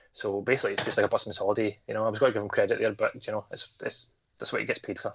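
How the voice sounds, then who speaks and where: Speaking very fast, a man talks with a Scottish accent. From Scotland. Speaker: horror podcast co-host. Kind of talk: casual chat.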